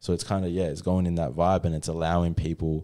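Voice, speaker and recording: With an Australian accent, a man talks at a fairly quick pace in a very deep, low voice. His tone is dark and mellow, on a very clean recording with a silent background. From Australia, inland New South Wales near Byron Bay, then Western Australia from age 12. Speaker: hip hop artist and postman. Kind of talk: casual interview chat. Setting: studio.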